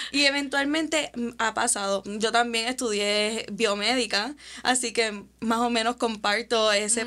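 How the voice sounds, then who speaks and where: With an unremarkable speaking voice, a woman talks at a fairly slow pace, her pitch fairly high and her intonation fairly even. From Puerto Rico. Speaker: podcast host. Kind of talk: interview conversation. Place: studio. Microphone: studio mic.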